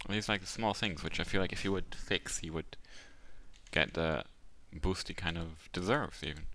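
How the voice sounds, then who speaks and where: A man mumbles at a moderate pace in a bright, sharp tone. His intonation is lively. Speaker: game commentator. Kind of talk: live commentary. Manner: mumbling.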